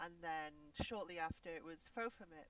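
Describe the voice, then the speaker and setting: Someone with a Welsh accent speaks at a fairly slow pace. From Wales. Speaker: vtuber guest. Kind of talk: casual interview chat. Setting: Discord call on a live stream. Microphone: quiet on Discord.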